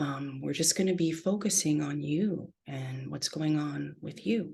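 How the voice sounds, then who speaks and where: Soft-spoken, a woman talks with vocal fry at a very deep, low pitch with ordinary pitch variation. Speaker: therapist leading a workshop. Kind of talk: online workshop lecture.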